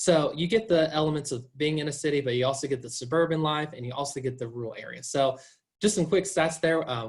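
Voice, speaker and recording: Speaking at a very fast pace with a slight Southern US accent, a man uses a fairly high pitch and ordinary pitch variation, his somewhat breathy voice showing big swings in loudness. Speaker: university admissions officer. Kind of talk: informational presentation. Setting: video call. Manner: enthusiastic.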